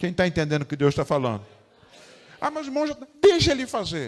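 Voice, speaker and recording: A man speaks at a fairly quick pace in an animated tone, his pitch swinging very widely. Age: 60s. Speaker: pastor. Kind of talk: sermon.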